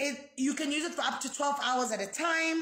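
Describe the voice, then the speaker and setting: A woman speaks in an animated tone at a moderate pace, with audible room echo around her. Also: quiet background. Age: 30s. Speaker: foundation founder. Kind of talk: live video product demonstration. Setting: live video stream. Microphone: phone near.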